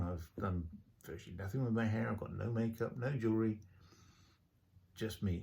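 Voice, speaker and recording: A man with an English accent speaks at a moderate pace in a fairly low, somewhat breathy voice with a dark, mellow tone and fairly even intonation. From England. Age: 60s. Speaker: vlogger. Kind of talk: personal video diary monologue. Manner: hesitant, many filler sounds.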